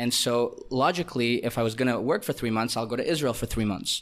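This man's voice has a medium pitch. The recording is very clean, with a silent background. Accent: Canadian. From Canada. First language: Russian. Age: 20s. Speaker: digital nomad entrepreneur. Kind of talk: casual interview. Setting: in person, Sri Lanka.

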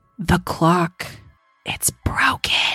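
A quiet, raspy, whispering put-on character voice, with faint music in the background. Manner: hushed, disturbing whisper.

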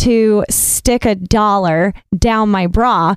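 A woman speaks in a Southern US accent. Her medium pitch shows ordinary variation. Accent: Southern twang. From US South, coastal North Carolina. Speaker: actress and model. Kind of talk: casual chat.

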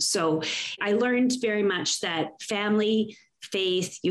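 This woman speaks with a Canadian Prairie accent. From Saskatchewan, Canada (farm). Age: 50s. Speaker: inspirational speaker and women's coach. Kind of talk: interview conversation. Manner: animated.

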